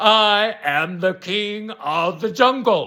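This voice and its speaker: On a very clean recording with a silent background, a man uses a put-on character voice, high-pitched and very slow. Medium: read story.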